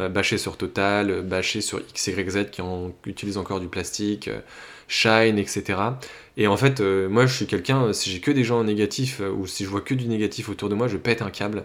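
A man speaks at a moderate pace. The background is silent and the recording very clean. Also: fairly low pitch for a man, fairly even intonation. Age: 30s. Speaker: life coach and podcaster. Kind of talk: solo monologue, personal update. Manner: hesitant, many fillers and restarts.

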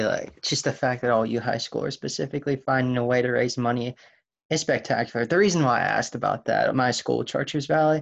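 A man with a medium pitch talks at a fairly quick pace, using ordinary pitch variation, vocal fry, and a fairly bright tone.

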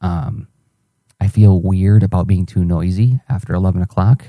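A quiet, somewhat breathy man speaks with a fairly low pitch and a dark, mellow tone. The sound is dry and close, with no echo. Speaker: artist podcaster. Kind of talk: audio journal. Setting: home at night. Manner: fast.

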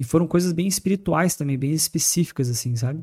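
A man's fairly high, somewhat breathy voice with a dark, mellow tone, lively intonation and a fairly quick pace, in a dry, close sound with no echo. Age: 30s. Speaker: former tattoo artist turned evangelical speaker. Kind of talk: casual chat.

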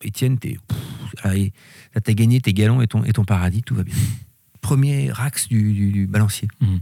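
A man with a fairly low pitch and ordinary pitch variation speaks in a dark, mellow tone, recorded with a dry, close sound and no echo. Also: moderate pace. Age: 50s. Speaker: company director. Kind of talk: interview. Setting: company workshop.

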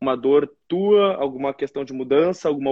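Fairly quick and fairly high-pitched, a man's voice moves along. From southern Brazil, Porto Alegre. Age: 20s. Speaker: young entrepreneur and engineering student. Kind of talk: interview on a live stream.

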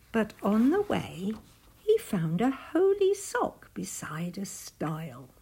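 Unforced reading in the voice

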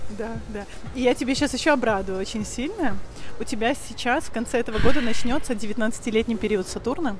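A woman's fairly high voice at a fairly quick pace with ordinary pitch variation, plus music in the background and audible room echo. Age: 30s. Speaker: vedic astrologer. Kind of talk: casual chat.

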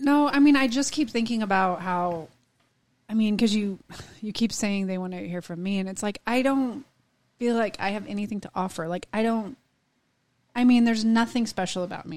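This is an unremarkable speaking voice at a moderate pace. Pitch variation is ordinary, while loudness shows big swings. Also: woman. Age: 40s. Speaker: podcast co-host. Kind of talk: casual chat.

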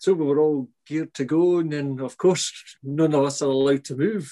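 A man with a Scottish accent talks at a fairly quick pace with fairly even intonation. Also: dry, close sound with no echo. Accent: Scottish (Fife). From Scotland, St Andrews. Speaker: head gardener and TV gardening presenter. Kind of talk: interview.

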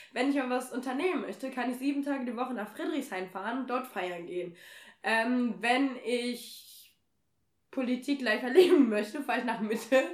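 Her pitch is high with ordinary variation as this woman talks at a moderate pace. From Germany, Nordheim. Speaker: podcast host. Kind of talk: casual chat. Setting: in person at a home in Kassel.

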